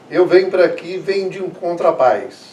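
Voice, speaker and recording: A man's voice is heard. The room echo is audible. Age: 70s. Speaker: long-time summer resident. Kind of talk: documentary interview.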